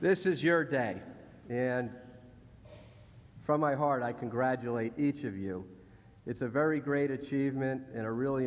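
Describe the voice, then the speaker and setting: Amid audible room echo, a man of medium pitch speaks at a moderate pace, with ordinary pitch variation and long, frequent pauses. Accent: New Jersey. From US, New Jersey. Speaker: honorary graduate speaker. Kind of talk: graduation speech. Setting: ceremony hall with audience.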